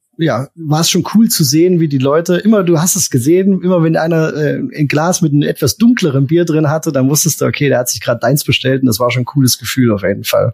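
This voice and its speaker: His pitch is fairly high and varies in an ordinary way. The man's voice is somewhat breathy and moves at a fairly quick pace. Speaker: beer podcast co-host. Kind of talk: casual chat.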